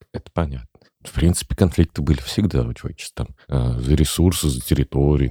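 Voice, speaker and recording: A man talks at a fairly quick pace in a very deep, low voice with a dark, mellow tone and ordinary pitch variation. The sound is dry and close, with no echo. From Tatarstan, Chistopol. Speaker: podcast host. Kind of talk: casual chat.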